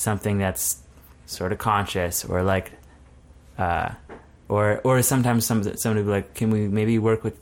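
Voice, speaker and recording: A man with a Manitoban accent speaks at a moderate pace, fairly low in pitch and fairly even in intonation. The recording is very clean, with a silent background. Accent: Canadian (Manitoba). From southern Manitoba, Canada. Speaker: graphic designer. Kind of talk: casual interview. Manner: halting, many fillers and restarts.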